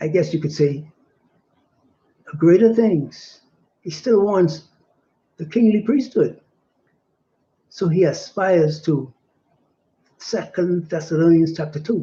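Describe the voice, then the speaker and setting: Delivery is very slow, with long, frequent pauses. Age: 60s. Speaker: religious teacher. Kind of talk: sermon. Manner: halting.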